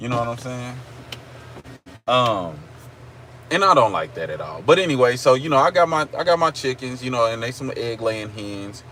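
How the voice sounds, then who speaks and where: A man with an Oklahoma accent uses lively intonation, leaving long, frequent pauses. His loudness swings widely over noticeable background noise. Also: medium pitch for a man, moderate pace. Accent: country (Oklahoma). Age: 30s. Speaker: live streamer. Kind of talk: casual chat. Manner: casual, repetitive fillers.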